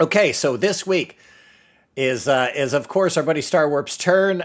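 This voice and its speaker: A man with a fairly high pitch shows ordinary pitch variation on a very clean recording with a silent background. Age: 30s. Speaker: podcast host. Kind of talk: casual livestream podcast chat. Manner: animated.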